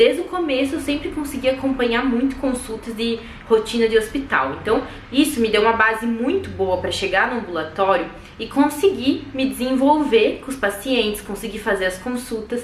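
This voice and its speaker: With audible room echo and noticeable background noise, a woman speaks at a moderate pace in a high pitch with lively intonation. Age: 20s. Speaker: medical student vlogger. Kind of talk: casual vlog talk.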